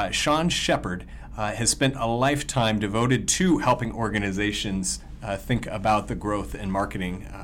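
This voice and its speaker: A voice with ordinary pitch variation speaks at a moderate pace over noticeable background noise. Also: man, fairly low pitch for a man. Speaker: podcast host. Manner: upbeat, excited.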